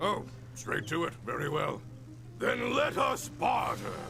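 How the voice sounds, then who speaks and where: Over loud background noise, a man uses a put-on character voice at a fairly slow pace. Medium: machinima. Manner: pompous, booming and self-important.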